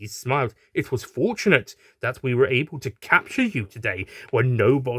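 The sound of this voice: The clip features an unforced reading voice. That is what comes through.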